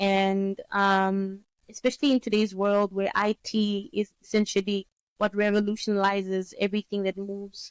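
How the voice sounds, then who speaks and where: The woman's voice sits at medium pitch, with a dry, close sound and no echo. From Namibia. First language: Oshiwambo. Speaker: economist and business consultant. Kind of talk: interview.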